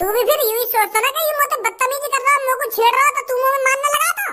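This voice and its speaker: A cartoonish character voice pitched extremely high. It races along at a very fast pace. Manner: lecturing, rustic dialect.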